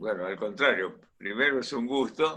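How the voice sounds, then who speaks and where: A man speaks with an Argentine accent at medium pitch. His intonation is lively. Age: 80s+. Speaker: engineer and industrialist. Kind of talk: radio interview answer.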